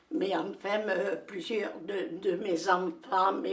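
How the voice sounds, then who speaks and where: Noticeable noise fills the background while a woman talks very slowly. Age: 80s+. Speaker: widow of a discoverer of a famous cave. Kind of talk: interview answer. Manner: passionate, determined.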